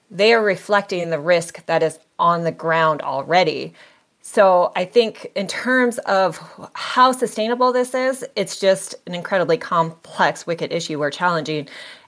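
This is a normal speaking voice with an American accent, moderate in pace and lively in intonation. The recording is very clean, with a silent background. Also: woman, medium pitch for a woman. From Montana. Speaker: policy analyst. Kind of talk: interview.

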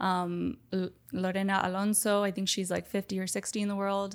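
A woman talks at a moderate pace with a medium pitch and monotone, flat intonation. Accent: American. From Miami, Florida. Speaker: professional padel player. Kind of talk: interview.

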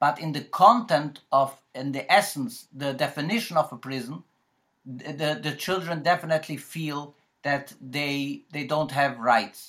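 On a very clean recording with a silent background, a man with a fairly high, bright, sharp voice talks at a fairly slow pace with ordinary pitch variation. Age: 40s. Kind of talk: panel discussion. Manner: halting.

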